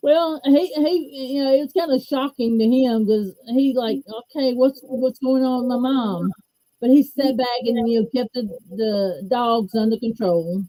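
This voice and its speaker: Speaking at a fairly slow pace in a Southern US accent, a woman uses a high pitch with ordinary pitch variation. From US Gulf Coast, Mobile, Alabama. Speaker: stroke survivor. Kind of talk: interview.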